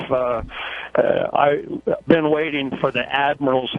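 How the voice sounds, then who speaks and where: Over noticeable background noise, a man speaks at medium pitch and a fairly slow pace in a flat monotone. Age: 60s. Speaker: caller, truck driver. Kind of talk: radio call-in. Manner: halting.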